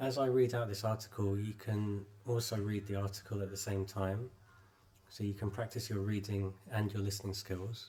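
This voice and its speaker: In a British accent, a man speaks at a fairly low pitch with a dark, mellow tone. His delivery is monotone and flat at a moderate pace. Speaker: English teacher. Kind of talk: lesson introduction to camera.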